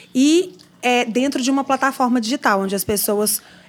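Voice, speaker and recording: A woman speaks at a moderate pace with a fairly high pitch. It is an unremarkable speaking voice. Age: 40s. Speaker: marketing executive. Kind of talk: casual interview. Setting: studio.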